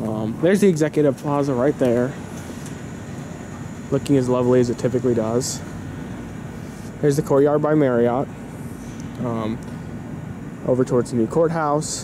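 Long, frequent pauses, noticeable background noise and a dry sound with no echo. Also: moderate pace. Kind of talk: casual vlog commentary. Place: street. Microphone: phone near.

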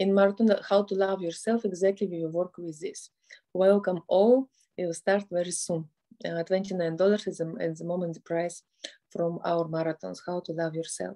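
A woman with a Russian accent speaks in a fairly low pitch with a dark, mellow tone. Her voice is gentle and soothing, with fairly even intonation. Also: quiet background. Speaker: family therapist and motivational speaker. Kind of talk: guided meditation. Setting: online video session with background music. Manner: slow, soft, calm instructions with pauses; gentle, soothing and directive. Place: home room. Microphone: phone near.

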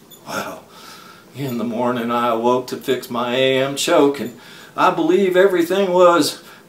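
A man with an American accent at a fairly slow pace, ordinary pitch variation, and audible room echo. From Texas. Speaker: storyteller and poet. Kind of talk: tall-tale poetry reading. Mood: drowsy, dramatic, playful. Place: home room. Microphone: webcam.

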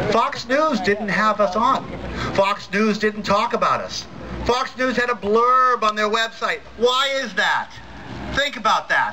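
A man speaks at an extremely high pitch and a fairly slow pace. His intonation stays fairly even over noticeable background noise. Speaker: atheist activist speaker. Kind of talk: rally speech. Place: stage.

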